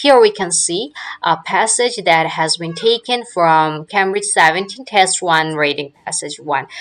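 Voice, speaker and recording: At a fairly slow pace, a woman with a non-native accent speaks in a fairly low voice. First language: not English. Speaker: English teacher. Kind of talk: lecture. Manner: halting, frequent fillers.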